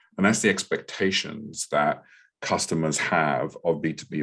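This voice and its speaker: At a moderate pace, a man with a London accent talks in a very deep, low voice with fairly even intonation. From England, London. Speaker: product marketing director. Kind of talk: podcast panel discussion. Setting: live online podcast with audience.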